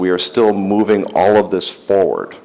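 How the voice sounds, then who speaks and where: Noticeable background noise accompanies fairly slow speech in an American accent. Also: man. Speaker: industry analyst and company CEO. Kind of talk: conference keynote talk. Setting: stage with audience.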